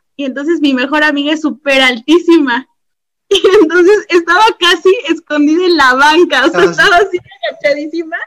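A woman talks at a fairly quick pace. Her pitch is extremely high, with ordinary variation. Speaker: teacher. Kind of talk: casual chat.

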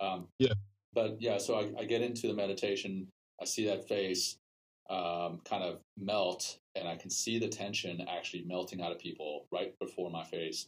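A man speaks at a moderate pace in a plain, everyday voice, fairly low in pitch with fairly even intonation. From South Africa, then US. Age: 40s. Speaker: podcast host and mindfulness teacher. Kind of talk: casual interview. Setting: remote call.

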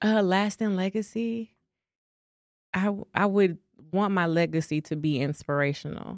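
With a Dallas accent, a woman speaks at a moderate pace with long, frequent pauses, medium pitch, ordinary pitch variation and very even loudness, the sound dry and close with no echo on a very clean recording with a silent background. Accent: Dallas, Texas. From Dallas, Texas. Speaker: actress and model. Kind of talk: interview.

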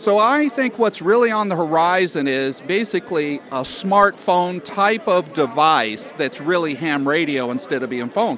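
Over noticeable background noise, a high-pitched man talks at a moderate pace with very wide pitch swings and hardly any pauses. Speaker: organization president. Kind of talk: interview at booth.

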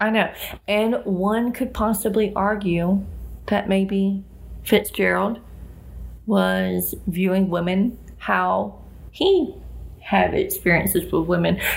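In a Southern US accent, a woman speaks at a very slow pace with very even loudness and long, frequent pauses. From US South. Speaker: podcast co-host. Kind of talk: casual chat about books and films.

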